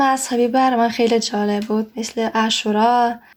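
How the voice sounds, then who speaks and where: Speaking very slowly, a woman uses an Isfahani accent. Her high voice stays flat and monotone. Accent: Isfahani accent in Persian. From Russia. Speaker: Persian learner, interviewee. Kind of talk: interview.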